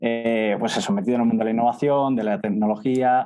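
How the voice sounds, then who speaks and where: A man's fairly quick speech sits at a medium pitch. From central Spain (Castilla-La Mancha). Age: 20s. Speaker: startup co-founder. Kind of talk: interview conversation.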